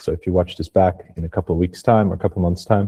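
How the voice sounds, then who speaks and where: Breathy to a degree, a man speaks in a very deep, low pitch with a dark, mellow tone, the sound dry and close with no echo. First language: not English. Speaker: webinar presenter, carbon regulation consultant. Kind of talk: webinar presentation. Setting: online webinar.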